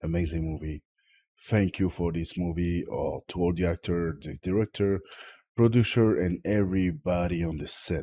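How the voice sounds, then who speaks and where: A man with a French accent has a very deep, low pitch. The recording is very clean, with a silent background. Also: ordinary pitch variation, moderate pace, dry, close sound with no echo. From Tahiti, French Polynesia. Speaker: film reviewer. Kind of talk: casual video review. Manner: halting, searching for English words.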